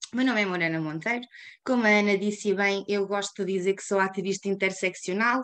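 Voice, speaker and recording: Fairly quick speech from a woman with a European Portuguese accent, medium in pitch, with ordinary pitch variation. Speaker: climate activist. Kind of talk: webinar presentation. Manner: fast.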